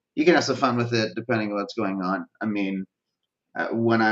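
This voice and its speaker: Over a quiet background, a man speaks in a plain, everyday voice with fairly low pitch and ordinary pitch variation. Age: 30s. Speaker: social media marketing expert. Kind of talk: casual interview chat. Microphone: video call.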